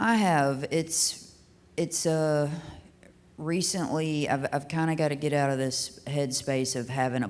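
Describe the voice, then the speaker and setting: In a Kentucky accent, a woman talks at a fairly slow pace with ordinary pitch variation. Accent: Southern US (Kentucky). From US South, Hickman, Kentucky. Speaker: singer-songwriter. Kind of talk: casual interview chat. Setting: live venue recording.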